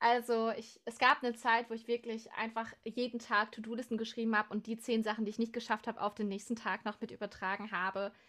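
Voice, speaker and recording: On a very clean recording with a silent background, a woman talks at a very fast pace with hardly any pauses. Her fairly high voice has a bright, sharp tone and a monotone, flat intonation. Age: 20s. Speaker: musician and music student. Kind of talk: casual interview. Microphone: technical problems at start.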